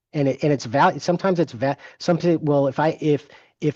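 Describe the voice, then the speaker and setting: A man's fairly high, ordinary speaking voice at a fairly quick pace, with ordinary pitch variation and a quiet background. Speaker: forensic financial expert. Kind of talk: webinar presentation.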